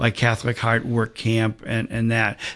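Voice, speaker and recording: A man's voice at medium pitch comes through over a quiet background. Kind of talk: radio interview. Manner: halting.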